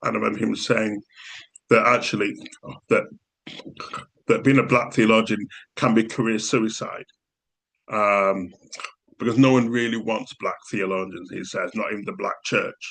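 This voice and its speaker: A man with a Yorkshire accent at a moderate pace, with long, frequent pauses. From Yorkshire, England. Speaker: theology professor. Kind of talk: academic talk. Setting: book launch event. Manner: wordy.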